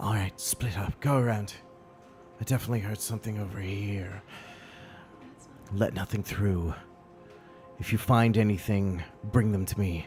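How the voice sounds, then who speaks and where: A man does a put-on character voice with hissing, at a fairly low pitch and a moderate pace with long, frequent pauses. His intonation is fairly even, and clear music plays in the background. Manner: commanding, menacing.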